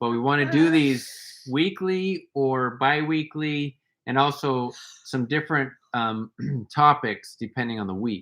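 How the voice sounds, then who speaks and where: A man with a plain, everyday voice speaks at a fairly slow pace in an American accent, against a quiet background. His pitch is fairly high, with ordinary pitch variation. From USA. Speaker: wellness workshop co-host. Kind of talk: casual live stream chat.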